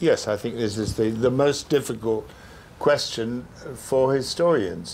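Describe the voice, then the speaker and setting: A man with a British accent at a fairly slow pace, ordinary pitch variation, and light background noise. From England. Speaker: veteran journalist; guest. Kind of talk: panel discussion. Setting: stage with audience. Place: hall.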